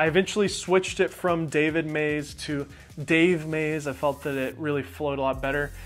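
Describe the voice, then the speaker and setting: Moderate pace over faint music in the background. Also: man. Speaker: video creator. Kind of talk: casual vlog chat. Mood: relaxed, amused storytelling. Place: home room. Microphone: lapel.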